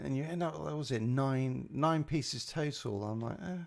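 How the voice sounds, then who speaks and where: A man with a London accent speaks at a medium pitch and a moderate pace. His pitch varies in an ordinary way. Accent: muddy London. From England (Liverpool, then south coast and London). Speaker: gaming streamer. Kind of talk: live stream casual chat. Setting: live stream. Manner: halting, many fillers.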